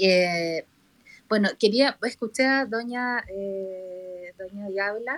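Very slow speech from a woman, medium-pitched, its pitch varying in an ordinary way. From Chile. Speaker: listener participant in live audio room. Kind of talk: casual discussion.

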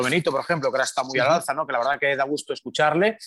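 An ordinary speaking voice from a man, fairly high-pitched with lively intonation, on a very clean recording with a silent background. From Galicia, Spain (Pontevedra). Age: 50s. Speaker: sports radio broadcaster. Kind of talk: casual interview chat.

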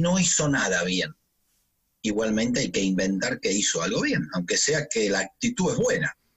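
This man's pitch leaps up and down dramatically. His speed is middling. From Argentina. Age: 50s. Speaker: physical trainer. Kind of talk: interview.

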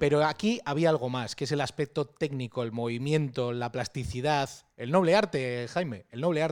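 A man with a fairly high pitch speaks at a moderate pace with ordinary pitch variation. The recording is very clean, with a silent background. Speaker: podcast host. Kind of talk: casual interview. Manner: halting, many repetitions.

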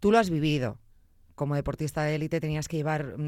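Monotone, flat intonation at a fairly quick pace. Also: woman. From Zamora, Spain. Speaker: radio and podcast host. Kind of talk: interview.

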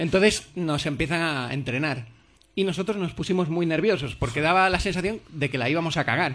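A man with a normal speaking voice, fairly high in pitch, at a fairly quick pace with ordinary pitch variation. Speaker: TV presenter. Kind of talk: casual interview. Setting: stage with audience.

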